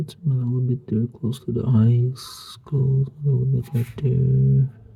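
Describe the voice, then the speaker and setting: Noticeable background noise sits behind this recording. A man speaks at medium pitch in a monotone, flat intonation at a fairly slow pace. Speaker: woodcarver. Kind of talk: tutorial. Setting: home studio. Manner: halting.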